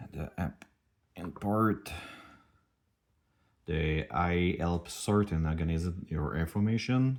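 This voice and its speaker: A very slow pace with long, frequent pauses, ordinary pitch variation, a French accent, and a very clean recording over a silent background. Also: man, very deep, low pitch for a man. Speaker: startup founder. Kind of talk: product demo. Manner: halting.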